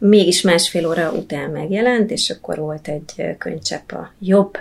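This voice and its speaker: Against noticeable background noise, a woman of medium pitch speaks with ordinary pitch variation. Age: 40s. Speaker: yoga teacher and Buddhist teacher. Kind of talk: casual interview.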